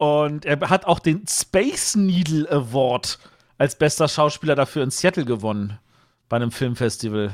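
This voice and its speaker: A normal speaking voice from a man, fairly high in pitch, with lively intonation and a fairly slow pace, on a very clean recording with a silent background. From West Berlin. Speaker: podcast co-host. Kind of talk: casual chat.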